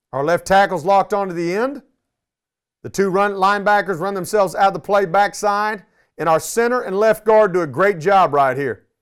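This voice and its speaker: In a Texan accent, a man talks at a fairly quick pace with a high pitch and ordinary pitch variation, recorded very cleanly against a silent background. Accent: Texan American. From Texas, Arlington. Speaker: high school football coach. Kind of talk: coaching clinic presentation.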